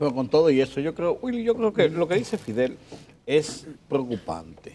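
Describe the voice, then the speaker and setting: A man talks at a moderate pace in a fairly high pitch, with very wide pitch swings. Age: 60s. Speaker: journalist. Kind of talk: casual chat.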